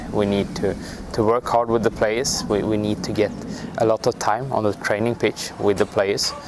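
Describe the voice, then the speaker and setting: A man with a non-native accent and a fairly low pitch speaks at a moderate pace over noticeable background noise. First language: not English. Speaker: national football team coach. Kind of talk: interview. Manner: halting.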